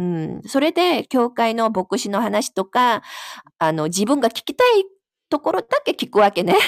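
A woman at a fairly high pitch with very wide pitch swings and a fairly slow pace, in a dry, close sound with no echo. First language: Korean (speaking Japanese). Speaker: Bible study participant. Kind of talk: casual chat.

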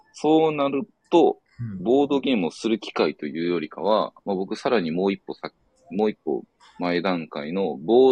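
A man with a Kansai accent speaks at a moderate pace. His fairly low pitch has very wide swings. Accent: Kansai Japanese. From Osaka, Japan. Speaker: board gamer travelling around Japan. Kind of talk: casual chat.

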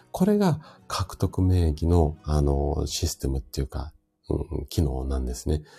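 A man speaks with a very deep, low pitch, a dark, mellow tone, a somewhat breathy quality and fairly even intonation. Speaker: health practitioner hosting a live audio stream. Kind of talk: casual health talk on a live stream, greeting listeners. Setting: live audio stream. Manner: hesitant, many fillers.

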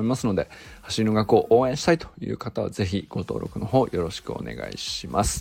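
A man speaks fairly quickly, with noticeable background noise behind him. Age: 40s. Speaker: podcast host and meteorologist. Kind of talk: casual solo talk. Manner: rambling with many fillers.

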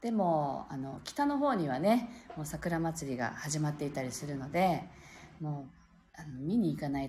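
Somewhat breathy and very deep and low, a woman's voice carries a relaxed, gentle tone, with lively intonation at a moderate pace. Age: 40s. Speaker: pianist and live-stream host. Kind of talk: casual live-stream chat.

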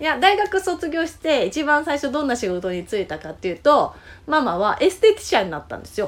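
A woman's high voice at a fairly quick pace, with very wide pitch swings and big swings in loudness. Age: 40s. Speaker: podcast host, journaling guide. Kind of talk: casual chat.

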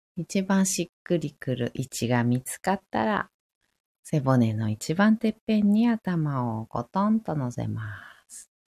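At a fairly slow pace, the dark, mellow voice makes very wide pitch swings in a dry, close sound with no echo on a very clean recording with a silent background. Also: woman, very deep, low pitch for a woman. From Tokyo. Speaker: yoga teacher. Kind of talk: casual chat; guided meditation. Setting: live stream.

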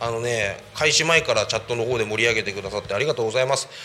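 Noticeable background noise accompanies a man. He talks at a very fast pace with lively intonation. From Saitama, Japan (Koshigaya). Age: 30s. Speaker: community radio host, former police officer. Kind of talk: casual solo radio talk.

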